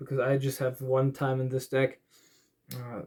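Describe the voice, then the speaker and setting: Somewhat breathy, a man speaks with a German accent. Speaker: card game YouTuber. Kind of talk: tutorial. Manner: halting.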